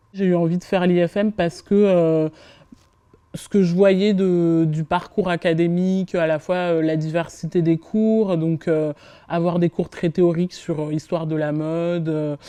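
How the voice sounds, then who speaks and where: Fairly slow and flat in a monotone, a woman speaks with a dark, mellow tone. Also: fairly low pitch for a woman. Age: 20s. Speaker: PR communication manager, business school alumna. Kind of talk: testimonial interview. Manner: hesitant, many filler sounds.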